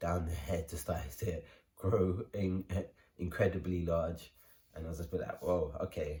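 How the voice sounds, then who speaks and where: In a London accent, a man speaks at a fairly slow pace in a very deep, low, somewhat breathy voice with a dark, mellow tone and monotone, flat intonation. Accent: London English, multicultural London. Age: 20s. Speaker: vlogger. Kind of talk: personal story vlog. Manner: casual, many fillers.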